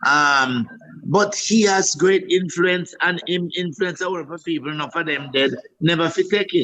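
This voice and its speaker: A man with a Jamaican accent speaks at a high pitch with ordinary pitch variation and a moderate pace. Noticeable background noise is present. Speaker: comedian. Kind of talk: interview answer. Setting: video call.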